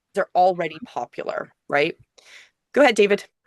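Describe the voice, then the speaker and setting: Against a quiet background, a woman's voice comes across dry and close with no echo. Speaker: online class teacher on video creation. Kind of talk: live group class discussion. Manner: fast.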